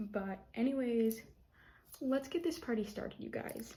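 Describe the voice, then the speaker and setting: Somewhat breathy, a woman speaks with a dark, mellow tone. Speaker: art youtuber. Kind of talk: casual vlog. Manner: stuttering.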